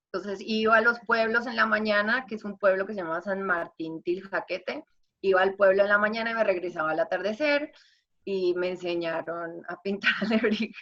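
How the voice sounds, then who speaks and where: Speaking at a moderate pace, a woman of medium pitch shows ordinary pitch variation and big swings in loudness. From Colombia. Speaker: singer-songwriter and artist. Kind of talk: interview. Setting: video call.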